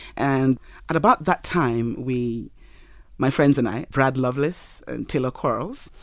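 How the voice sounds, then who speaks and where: On a very clean recording with a silent background, a woman with a Yoruba accent speaks at a fairly slow pace in a very deep, low pitch with ordinary pitch variation. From Nigeria. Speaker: marketing professional. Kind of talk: casual interview chat. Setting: studio.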